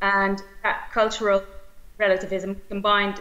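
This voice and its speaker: A woman speaks at a fairly slow pace. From Belgium. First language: Dutch. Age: 40s. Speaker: politician. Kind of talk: conference speech. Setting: video call. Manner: hesitant, many fillers. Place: home room. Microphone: webcam.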